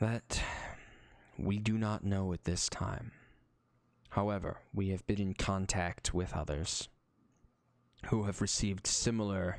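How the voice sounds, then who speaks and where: Using a put-on character voice at a fairly low pitch, a man speaks with long, frequent pauses. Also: fairly slow pace. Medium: actual play. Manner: grave, formal.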